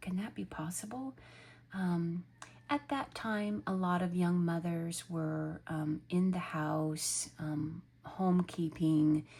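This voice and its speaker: Speaking at a very slow pace, a woman has a somewhat breathy, dark, mellow tone, fairly low pitch and ordinary pitch variation. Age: 50s. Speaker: lifestyle vlogger. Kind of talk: casual monologue. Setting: home office. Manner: hesitant with fillers.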